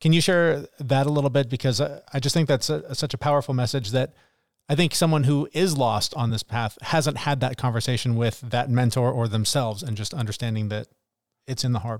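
Fairly quick in pace, a man with medium pitch and ordinary pitch variation has an unremarkable speaking voice on a very clean recording with a silent background. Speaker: podcast co-host. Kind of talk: casual interview chat.

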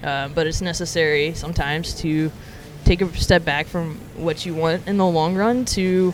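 An American accent at a moderate pace over noticeable background noise. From Alabama, US South. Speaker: former psychology researcher, barista. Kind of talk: interview.

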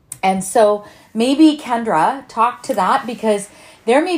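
A woman's fairly high voice with lively intonation, against noticeable background noise. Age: 50s. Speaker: health and lifestyle podcast host. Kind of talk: casual chat. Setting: home kitchen.

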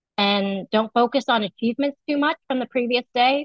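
A woman speaks in an unremarkable speaking voice, fairly high in pitch, at a moderate pace with fairly even intonation. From United States, Vietnamese immigrant family. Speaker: marketing professor. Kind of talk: interview.

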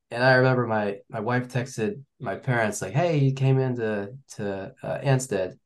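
At a moderate speed, a man talks in a mid-range pitch. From US Midwest, Kansas City area. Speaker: ultramarathon runner. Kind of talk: casual chat.

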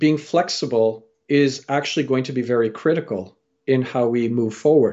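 A man with a Canadian accent speaks at a moderate pace in a medium pitch, an unremarkable speaking voice. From Canada. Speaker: storyteller and career coach. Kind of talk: interview.

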